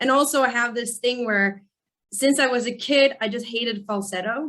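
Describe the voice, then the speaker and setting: Speaking at a moderate pace, a woman uses a high pitch and fairly even intonation. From Sweden. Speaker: rock singer. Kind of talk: interview.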